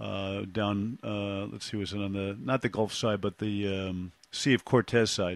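A man with a fairly low pitch speaks in an American accent at a fairly slow pace with fairly even intonation. The sound is dry and close, with no echo. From Brooklyn, New York. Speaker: podcast host. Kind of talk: casual interview. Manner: halting, with many fillers.

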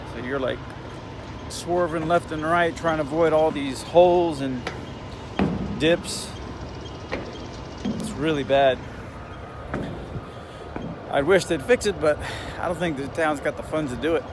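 A man speaks at a fairly slow pace, pausing long and often, with noticeable background noise. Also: ordinary pitch variation, dry sound with no echo. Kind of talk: casual vlog chat. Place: car. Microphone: phone near.

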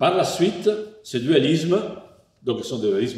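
A man speaks with an Italian accent and lively intonation. Audible room echo surrounds his voice. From Italy. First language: Italian (speaking French). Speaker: philosopher; philosopher lecturer. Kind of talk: lecture partly read from a text. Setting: online lecture. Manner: hesitant, many fillers (euh, hein). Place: home room.

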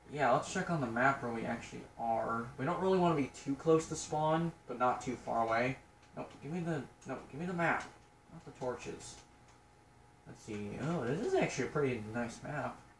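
A man speaks at a moderate pace with big swings in loudness. The recording has audible room echo and light background noise. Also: ordinary pitch variation. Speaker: gamer. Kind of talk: casual gameplay commentary. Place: home room. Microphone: phone near.

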